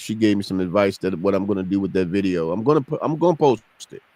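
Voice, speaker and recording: Using a plain, everyday voice, a man talks at a fairly quick pace. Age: 50s. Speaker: podcast host. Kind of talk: casual chat. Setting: live stream.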